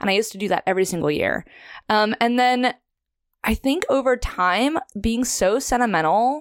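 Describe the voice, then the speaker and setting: With an American accent and a normal speaking voice, a woman talks at a moderate pace in a fairly high pitch with lively intonation, the sound dry and close with no echo on a very clean recording with a silent background. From Los Angeles, San Fernando Valley. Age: 20s. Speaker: therapist and musician. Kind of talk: casual chat.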